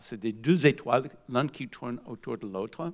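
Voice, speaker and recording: On a very clean recording with a silent background, a man speaks at a fairly slow pace in a medium pitch with lively intonation. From USA. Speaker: physicist. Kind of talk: lecture. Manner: halting.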